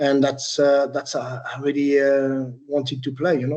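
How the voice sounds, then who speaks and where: A man speaks with a French accent in a dark, mellow tone. His pace is moderate. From France, Troyes. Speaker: retired footballer. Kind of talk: interview. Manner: hesitant, many fillers.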